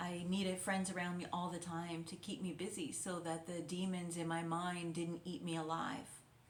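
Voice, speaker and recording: With hardly any pauses, a woman talks in a monotone, flat intonation over noticeable background noise. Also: fairly low pitch for a woman, moderate pace. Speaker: intuitive guide and wellness mentor. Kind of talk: guided reflection / wellness talk to camera. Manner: soft-spoken, gentle, calming.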